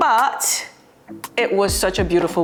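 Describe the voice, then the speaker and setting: Music plays in the background as a woman talks at a fairly quick pace with ordinary pitch variation. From Nigeria. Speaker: cooking show host. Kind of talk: casual chat while cooking.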